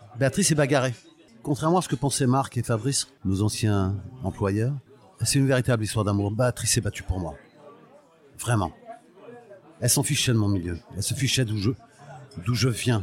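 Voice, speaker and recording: At a moderate pace and medium pitch, a man speaks with ordinary pitch variation and long, frequent pauses. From Portugal, raised in France (Paris suburbs). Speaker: music industry veteran and olive oil producer. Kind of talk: personal life story interview. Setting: restaurant lunch. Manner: halting.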